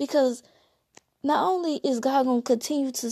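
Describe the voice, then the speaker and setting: A woman talks at a fairly slow pace. Behind her, the background is quiet. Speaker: podcast host. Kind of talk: solo monologue podcast, reflective talk.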